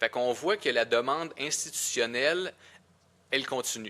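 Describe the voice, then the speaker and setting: Bright and sharp in tone, a man with a Quebec accent talks at medium pitch and a moderate pace with lively intonation, on a very clean recording with a silent background. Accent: Québécois French. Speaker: podcast co-host. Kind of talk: casual podcast discussion.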